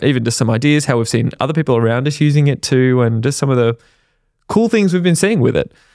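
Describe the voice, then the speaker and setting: A man with an Australian accent talks with a fairly high voice and lively intonation. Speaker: podcast co-host. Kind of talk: casual chat.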